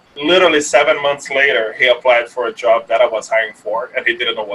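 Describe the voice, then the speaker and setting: Noticeable background noise accompanies a man who speaks at a very fast pace. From Brazil. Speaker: app startup founder. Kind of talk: casual interview chat.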